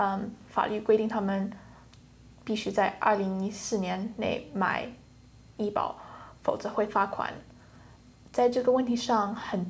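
Audible room echo carries a woman's fairly high, somewhat breathy voice. Her delivery is fairly slow and monotone, with flat intonation. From England. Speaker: economics student. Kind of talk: classroom discussion. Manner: hesitant with fillers.

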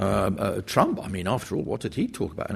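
A man's fairly low voice at a very fast pace, the background quiet. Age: 70s. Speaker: historian, professor. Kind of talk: panel talk and Q&A answers. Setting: university lecture hall with audience.

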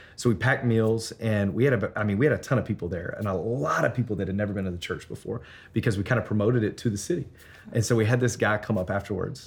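A man with a Memphis accent talks at a very fast pace in a fairly low, somewhat breathy voice with ordinary pitch variation. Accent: Southern US (Memphis). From Memphis, Tennessee. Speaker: church planter, pastor. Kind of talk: interview. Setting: on location at a conference.

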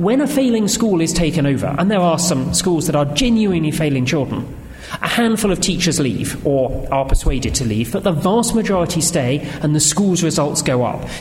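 Someone with a British accent talks at a fairly quick pace with very even loudness over noticeable background noise. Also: man, high pitch for a man. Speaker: government analyst and economic historian. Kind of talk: panel response and discussion.

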